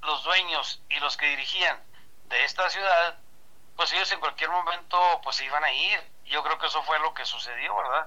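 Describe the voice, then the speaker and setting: This man's voice sits high in pitch with a bright, sharp tone. His pitch varies in an ordinary way. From Mexico, Chihuahua state. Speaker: baseball sports commentator. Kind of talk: interview.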